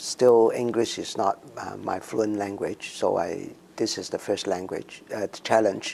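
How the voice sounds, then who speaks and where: A man talks at a fairly slow pace with a Cantonese accent. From Hong Kong. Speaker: immigrant community member. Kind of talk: interview. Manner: halting, many fillers.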